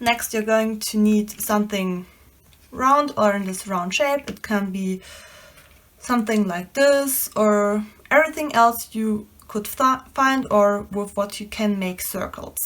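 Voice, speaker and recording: A woman with a non-native accent speaks very slowly at a fairly high pitch, her pitch varying in an ordinary way. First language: not English. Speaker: DIY crafter. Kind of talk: tutorial.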